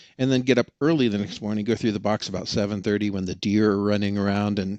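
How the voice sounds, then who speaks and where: With an American accent, a man talks at a very fast pace in a fairly low pitch. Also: quiet background. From Oregon. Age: 60s. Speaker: experienced canyon hiker. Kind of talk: podcast interview.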